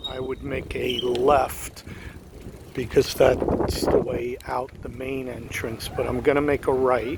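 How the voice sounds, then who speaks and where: The speech comes at a very slow pace with big swings in loudness and noticeable background noise. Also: man. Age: 50s. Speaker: vlogger. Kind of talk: casual chat. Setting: outdoors. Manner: conversational.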